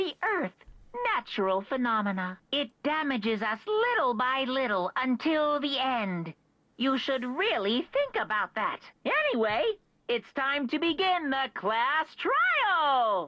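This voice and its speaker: A woman speaks in a put-on character voice. Her pitch is high and her pace fairly slow. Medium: video game.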